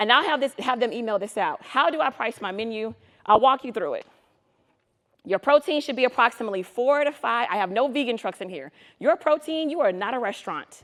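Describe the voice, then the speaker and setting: High-pitched and animated, a woman talks at a fairly quick pace with lively intonation. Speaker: food truck business consultant. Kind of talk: conference presentation. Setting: stage with live audience. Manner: fast; animated, casual and interactive.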